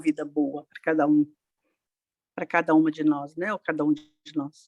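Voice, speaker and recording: A woman talks at a moderate pace, her pitch swinging very widely. The sound is dry and close, with no echo. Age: 60s. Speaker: participant in grief support group. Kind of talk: personal testimony in group discussion. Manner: halting, many hesitations.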